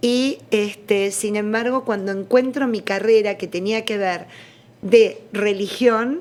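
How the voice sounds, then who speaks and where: A woman speaks at a very slow pace. Her pitch is fairly high, with ordinary pitch variation. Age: 60s. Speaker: religious studies scholar. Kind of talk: interview testimony.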